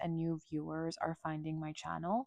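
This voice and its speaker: In a dry, close sound with no echo, a woman speaks at a fairly low pitch. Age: 30s. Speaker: content creator. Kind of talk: casual talk to camera. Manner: slow.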